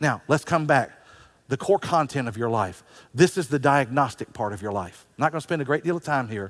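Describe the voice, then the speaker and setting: Speaking fairly quickly, a man uses a plain, everyday voice at medium pitch with lively intonation. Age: 60s. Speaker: pastor. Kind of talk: sermon.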